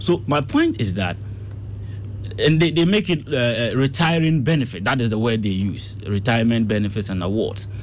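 A man speaks at a moderate pace and medium pitch, with lively intonation. Noticeable background noise and audible room echo are present. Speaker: political science analyst. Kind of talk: radio panel debate.

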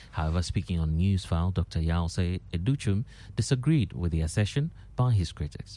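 Speaking at a moderate pace, a man uses a very deep, low pitch and a dark, mellow tone with lively intonation. The background is quiet. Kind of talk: newsreading. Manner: formal, steady broadcast delivery; brisk, measured headline pacing.

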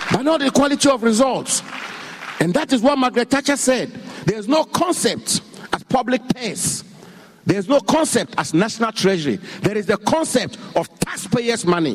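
Over noticeable background noise, a man with an extremely high pitch talks at a moderate pace with lively intonation. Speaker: government minister. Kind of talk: political speech. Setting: stage with audience. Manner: emphatic.

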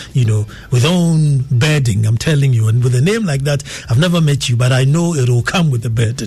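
A man with a Ghanaian accent at a medium pitch and fairly quick pace, with ordinary pitch variation, very even loudness and noticeable background noise. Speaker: radio host. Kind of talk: live radio talk show with callers. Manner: formal, measured, thoughtful.

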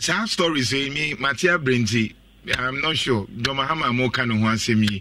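A man with a Ghanaian accent at a moderate pace and medium pitch, ordinary pitch variation, and noticeable background noise. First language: Twi. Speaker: radio host. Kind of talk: radio talk show.

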